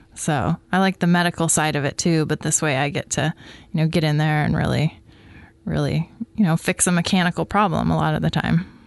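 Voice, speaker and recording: With an American accent, a woman with a very deep, low pitch talks at a fairly quick pace, her loudness very even and her intonation fairly even, amid noticeable background noise. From US Pacific Northwest (Coquille, Oregon). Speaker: general surgeon. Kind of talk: health interview.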